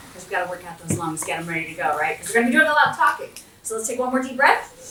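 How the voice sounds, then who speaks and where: With an Appalachian accent, a woman talks at a very fast pace and a fairly high pitch in an animated tone, with very wide pitch swings and big swings in loudness, amid noticeable background noise and audible room echo. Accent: Appalachian American. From US South, southwestern West Virginia. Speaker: diplomat. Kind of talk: motivational talk to audience.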